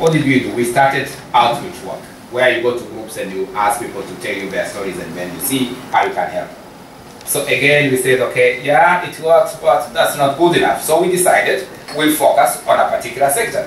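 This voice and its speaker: Over noticeable background noise, a man talks at a fairly quick pace with big swings in loudness. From Rwanda. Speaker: immigrant integration manager; public speaker. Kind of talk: conference presentation.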